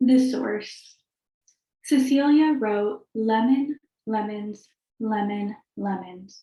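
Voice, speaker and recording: Her voice is fairly high, somewhat breathy and dark, mellow in tone, with ordinary pitch variation. The woman speaks at a very slow pace with long, frequent pauses. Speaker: fiction writer. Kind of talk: casual chat; reading aloud. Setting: video call.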